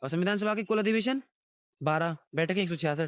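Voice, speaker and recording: Recorded with a dry, close sound and no echo, a man with a high pitch talks at a moderate pace with lively intonation. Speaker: teacher. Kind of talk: lecture. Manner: halting.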